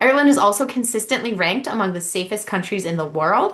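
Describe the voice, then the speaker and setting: The woman has a bright, sharp tone. She talks with an American accent. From United States. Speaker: university admissions representative. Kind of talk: information session presentation.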